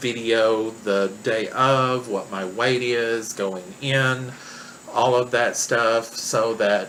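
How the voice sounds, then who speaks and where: Amid noticeable background noise, a man with a Southern US accent talks at a very slow pace, medium in pitch and monotone, flat in intonation. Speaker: vlogger documenting weight-loss surgery. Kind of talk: personal vlog. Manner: hesitant, many fillers.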